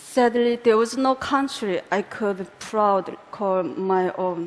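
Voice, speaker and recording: A woman with a Korean accent speaks at a fairly high pitch and a very slow pace, with noticeable background noise. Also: ordinary pitch variation. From North Korea. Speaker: defector telling her life story. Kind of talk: public talk, personal testimony. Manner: slightly halting, non-native phrasing.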